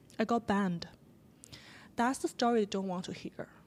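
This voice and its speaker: A woman with a non-native accent speaks at a medium pitch in a very clean recording with a silent background. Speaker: writer and podcaster. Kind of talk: interview conversation. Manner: halting.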